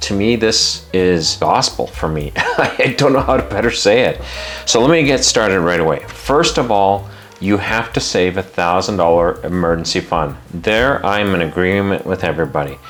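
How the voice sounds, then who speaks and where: Against noticeable background noise, a man with a fairly low pitch speaks at a moderate pace in an animated tone. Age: 50s. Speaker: personal finance YouTuber. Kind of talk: opinionated advice monologue.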